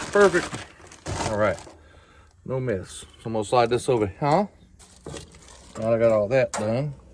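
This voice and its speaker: With noticeable background noise behind him, a man with an American accent speaks at a moderate pace and medium pitch, using lively intonation and long, frequent pauses. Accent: southern US, fading. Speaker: outdoors vlogger. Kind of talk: casual cooking vlog. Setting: outdoors, truck camping in a park. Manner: casual, chatty.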